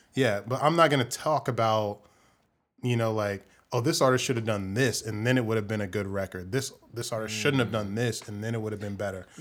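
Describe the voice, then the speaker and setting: Talking fairly quickly, a man has an unremarkable speaking voice at a medium pitch with ordinary variation in it. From central Illinois, US Midwest. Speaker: filmmaker and music fan guest. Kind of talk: casual chat.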